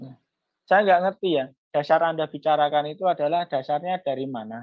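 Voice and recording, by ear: At a fairly quick pace, a man talks with fairly high pitch and ordinary pitch variation.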